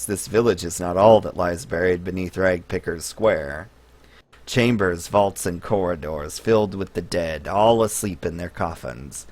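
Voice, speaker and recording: Putting on a character voice, a man speaks in a raspy, very deep, low pitch at a moderate pace. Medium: actual play. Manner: mumbling, repetitive, wheedling.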